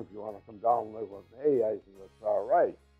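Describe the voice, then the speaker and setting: Over music in the background, a man speaks fairly quickly with fairly even intonation. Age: 80s+. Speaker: WWII veteran. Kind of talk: interview answer.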